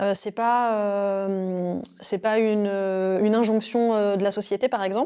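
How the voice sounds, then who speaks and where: A woman's dark, mellow tone at a fairly slow pace with fairly even intonation. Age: 30s. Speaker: intuitive consultant. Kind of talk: interview. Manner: hesitant, many fillers.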